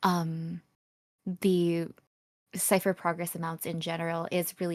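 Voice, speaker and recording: In a very clean recording with a silent background, a woman speaks at a moderate pace with fairly low pitch and monotone, flat intonation. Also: dry, close sound with no echo. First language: not English. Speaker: esports caster. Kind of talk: live commentary.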